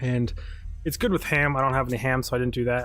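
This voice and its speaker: A man mumbles at a very fast pace with ordinary pitch variation, music playing in the background. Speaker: gaming streamer. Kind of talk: live stream gameplay commentary. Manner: soft-spoken; mumbling. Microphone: mic set to amplify quiet speech and compress loud.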